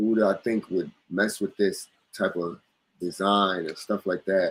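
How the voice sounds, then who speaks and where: A man with an American accent speaks fairly slowly in a fairly low pitch, his intonation flat and monotone. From US East Coast. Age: 30s. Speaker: clothing brand owner. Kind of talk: casual chat.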